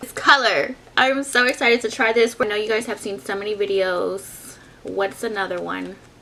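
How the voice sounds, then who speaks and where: A woman's fairly high, animated voice at a moderate pace, with noticeable background noise. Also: ordinary pitch variation, big swings in loudness. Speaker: beauty vlogger. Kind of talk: product review.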